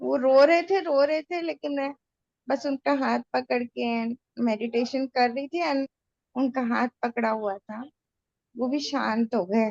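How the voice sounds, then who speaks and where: Here a woman speaks in a high-pitched voice with ordinary pitch variation. The sound is dry and close, with no echo. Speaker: hospitalized patient joining meditation session. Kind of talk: casual chat. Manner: halting.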